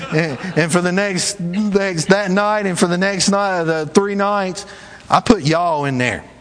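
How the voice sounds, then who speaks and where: Over noticeable background noise, a man speaks in a high voice with ordinary pitch variation. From US South. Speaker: traveling evangelist preacher. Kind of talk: sermon. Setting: church.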